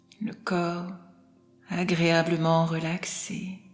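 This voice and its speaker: A woman's fairly low-pitched voice at a very slow pace, calm in tone, with music in the background. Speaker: clinical psychologist and hypnotherapist. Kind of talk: guided hypnosis relaxation session. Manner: slow, soft-spoken, calm.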